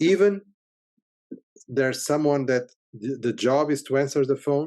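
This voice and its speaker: With a Portuguese accent, a man speaks at a fairly high pitch in a dark, mellow tone. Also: ordinary pitch variation, moderate pace. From Portugal. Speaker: software company CEO. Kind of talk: interview. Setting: podcast interview. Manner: halting, many repetitions.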